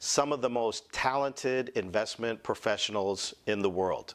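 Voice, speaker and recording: A man talks at a medium pitch. He has a slight Boston accent. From Boston, US. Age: 40s. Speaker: medical spa founder, former finance executive. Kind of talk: conference presentation. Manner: casual.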